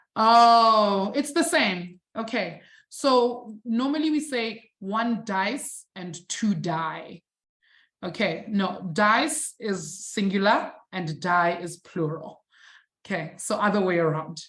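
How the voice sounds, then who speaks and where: Speaking very slowly with a non-native accent, a woman uses lively intonation at medium pitch. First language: not English. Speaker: maths teacher. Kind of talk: online live lesson. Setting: live-streamed online class. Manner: animated.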